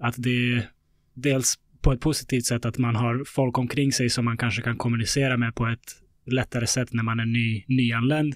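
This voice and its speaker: There's a man speaking at a moderate pace. His pitch is medium and his intonation monotone and flat. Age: 30s. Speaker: podcast host. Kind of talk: interview conversation.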